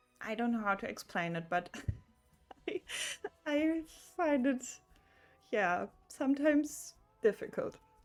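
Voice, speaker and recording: With a German accent, a woman speaks at a high pitch with very wide pitch swings, at a fairly slow pace with long, frequent pauses, as music plays in the background. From Germany. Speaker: video game streamer. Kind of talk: casual livestream chat. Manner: halting, many fillers.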